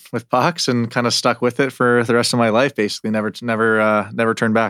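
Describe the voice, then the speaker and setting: On a very clean recording with a silent background and a dry, close sound with no echo, a man with an Albertan accent talks very fast in a fairly low voice. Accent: Canadian (Alberta). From Canada (Calgary). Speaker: professional hockey goaltender. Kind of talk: casual interview.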